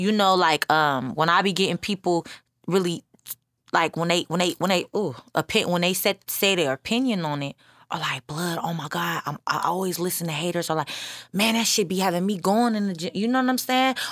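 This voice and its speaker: The recording is very clean, with a silent background. A woman speaks at a fairly quick pace in a fairly low pitch with ordinary pitch variation. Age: 20s. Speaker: music artist. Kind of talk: casual chat. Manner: mumbling at times.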